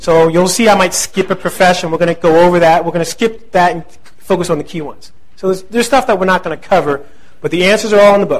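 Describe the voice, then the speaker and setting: Speaking at a very fast pace, a man has a New Jersey accent. His pitch is high. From New Jersey (central). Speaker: real estate investing instructor. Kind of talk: lecture. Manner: animated.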